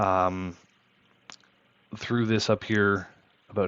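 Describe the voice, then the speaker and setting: The man's voice is fairly low and monotone, with flat intonation. He speaks at a fairly slow pace. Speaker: tech YouTuber. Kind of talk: tutorial. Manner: hesitant, many fillers.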